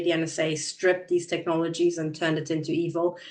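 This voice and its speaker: A woman with a Hungarian accent. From Transylvania, Romania, raised in Germany. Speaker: podcast host. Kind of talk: interview.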